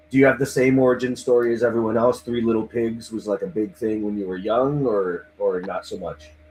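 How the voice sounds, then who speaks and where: A plain, everyday voice: a man with a Canadian accent, medium pitch, fairly even intonation, fairly quick pace and hardly any pauses. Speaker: livestream host interviewing band fans. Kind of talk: casual chat.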